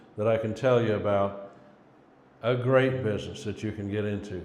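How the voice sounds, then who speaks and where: A man at a moderate pace with an American accent, ordinary pitch variation and audible room echo. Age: 60s. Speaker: cleaning business owner and coach. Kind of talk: casual motivational talk to camera. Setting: self-recorded on phone camera.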